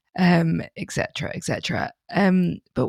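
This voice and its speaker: Vocal fry runs through a woman's voice. The sound is dry and close with no echo, in a very clean recording over a silent background. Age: 30s. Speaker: podcast host. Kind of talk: interview.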